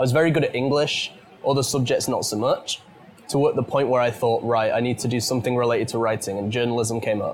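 In a British accent, a man speaks very fast at a medium pitch with fairly even intonation. Background noise is noticeable. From UK. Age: 20s. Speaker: podcast host and teacher. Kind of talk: interview conversation. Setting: British pub or restaurant.

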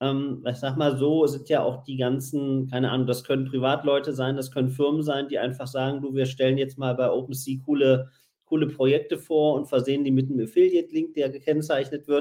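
With hardly any pauses, a man talks fairly quickly in a fairly high pitch and a monotone, flat intonation. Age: 40s. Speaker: podcast host and magazine publisher. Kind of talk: casual chat.

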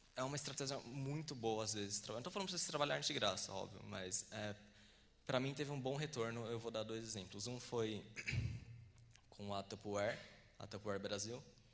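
A man speaks at a medium pitch with ordinary pitch variation and a fairly quick pace, broken by long, frequent pauses, and audible room echo can be heard. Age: 20s. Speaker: filmmaker. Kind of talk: lecture. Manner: halting.

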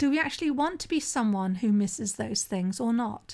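A woman with a plain, everyday voice, a fairly high pitch and a moderate pace, on a very clean recording with a silent background. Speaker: sobriety coach and podcast host. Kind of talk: solo podcast monologue. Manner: conversational.

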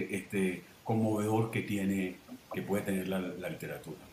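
There is noticeable background noise. The room echo is audible too. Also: man. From Venezuela. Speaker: novelist. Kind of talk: panel discussion.

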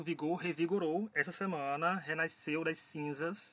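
A man with a Paraíba accent speaks in a high voice. His tone is bright and sharp, and his intonation is fairly even. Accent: Paraíba (northeastern Brazilian). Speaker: podcast host. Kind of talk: casual chat.

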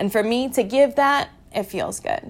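In a very clean recording with a silent background, a woman speaks at a fairly slow pace. She has a plain, everyday voice and lively intonation. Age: 20s. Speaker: podcast host. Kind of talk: personal monologue. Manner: casual.

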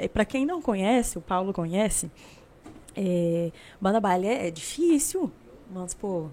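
A woman speaks in a dark, mellow tone at medium pitch. Her speech has long, frequent pauses. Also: lively intonation. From Brazil, Uberlândia, Minas Gerais. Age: 20s. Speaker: singer. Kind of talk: casual chat.

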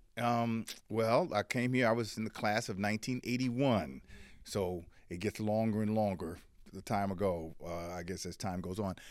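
Over a silent background in a very clean recording, a man with a plain, everyday voice speaks at a moderate pace, fairly low in pitch with ordinary pitch variation. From Washington DC. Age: 60s. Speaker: journalist. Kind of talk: interview conversation. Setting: studio.

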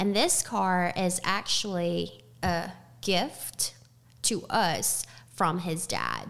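Speaking very slowly, a woman with an American accent uses a fairly low pitch and vocal fry. Her pitch varies in an ordinary way. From Texas, Houston. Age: 20s. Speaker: restaurant server. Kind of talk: interview. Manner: halting.

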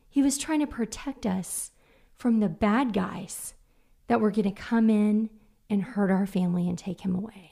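A woman speaks at a moderate pace with a somewhat breathy, fairly high voice. The recording is very clean, with a silent background. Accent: American. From Oklahoma City. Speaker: nonprofit communications and marketing lead. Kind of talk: casual interview.

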